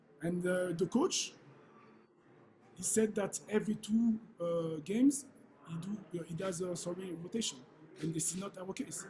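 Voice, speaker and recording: A man's high-pitched voice of dark, mellow tone in a French accent, with ordinary pitch variation and long, frequent pauses. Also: moderate pace. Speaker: football head coach. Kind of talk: press conference. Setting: press conference. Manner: halting, many fillers.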